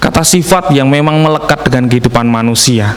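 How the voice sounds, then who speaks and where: A man speaks very fast at a fairly high pitch with a strong Javanese accent. There is noticeable background noise. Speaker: preacher. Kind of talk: sermon. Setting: church service streamed online.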